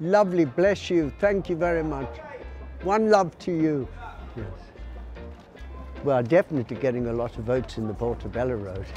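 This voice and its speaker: Over clear music in the background, a man with a fairly high pitch and very wide pitch swings talks with long, frequent pauses in a dry sound with no echo. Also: moderate pace. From London. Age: 70s. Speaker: cannabis campaigner. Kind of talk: street campaigning and interview; interview answer. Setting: outdoors on a street. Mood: warm, cheerful. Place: shop. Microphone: lapel.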